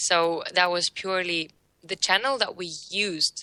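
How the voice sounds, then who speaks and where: A woman's bright, sharp tone with a non-native accent, at a fairly slow pace. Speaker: social media marketer. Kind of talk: interview. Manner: halting, many fillers.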